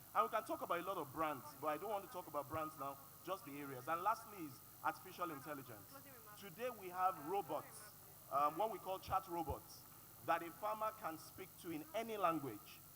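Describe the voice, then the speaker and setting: Speaking with a Yoruba accent, a man uses a high pitch, a bright, sharp tone and lively intonation at a fairly quick pace. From Nigeria, Yoruba. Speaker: panelist, agritech expert. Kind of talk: panel discussion.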